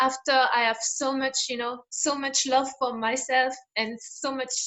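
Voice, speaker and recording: A woman's high-pitched voice with a French accent and monotone, flat intonation. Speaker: interviewer, coach. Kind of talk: interview. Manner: halting.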